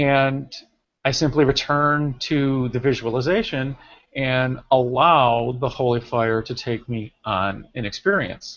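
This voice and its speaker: A man at medium pitch, with ordinary pitch variation and a very slow pace. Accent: American. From Rochester, New York. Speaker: reiki teacher hosting an online hangout. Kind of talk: casual group video chat on spirituality. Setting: online video call.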